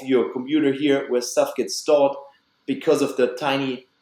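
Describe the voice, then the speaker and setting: A man speaks at a fairly high pitch, his intonation fairly even. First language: German. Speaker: biological dentist. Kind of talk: podcast interview.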